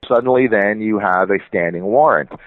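A man with a plain, everyday voice speaks at a fairly low pitch. He moves at a fairly quick pace with lively intonation. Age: 40s. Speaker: journalist and author. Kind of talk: interview conversation.

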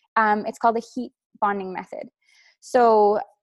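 Against a quiet background, a woman speaks fairly slowly at a fairly high pitch, the sound dry and close with no echo. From Newfoundland, Canada. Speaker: lash artist and business owner. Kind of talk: interview.

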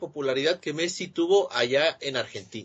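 A man talks at a fairly quick pace. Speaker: sports podcast host. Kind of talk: casual sports chat.

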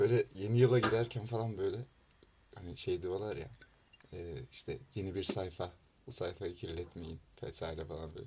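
At a moderate pace, a man with a fairly low, somewhat breathy voice and ordinary pitch variation speaks with long, frequent pauses and big swings in loudness. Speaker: university student club podcast host. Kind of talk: casual chat.

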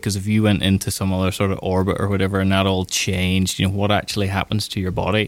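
A man with an ordinary speaking voice, fairly low in pitch, at a fairly quick pace. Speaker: doctor and neuroscience researcher. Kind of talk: explaining, interview. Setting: studio.

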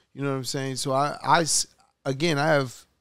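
A man talks at a moderate pace and a medium pitch, in a New York accent. His delivery stays flat and monotone. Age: 50s. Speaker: podcast host and music executive. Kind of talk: casual interview.

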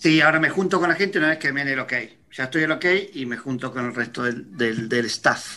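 Speaking at a fairly quick pace, a man with a fairly high pitch has a bright, sharp tone and ordinary pitch variation. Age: 40s. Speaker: radio co-host. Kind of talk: casual chat.

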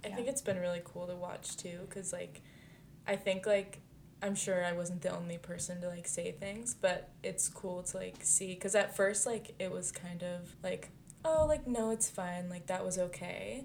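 An ordinary speaking voice, its pitch moving in an ordinary way. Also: woman, medium pitch for a woman, moderate pace. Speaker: podcast co-host. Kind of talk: casual chat.

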